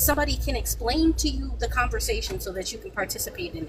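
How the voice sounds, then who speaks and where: A woman's animated tone at a fairly quick pace, over noticeable background noise. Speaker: panel speaker. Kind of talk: heated debate.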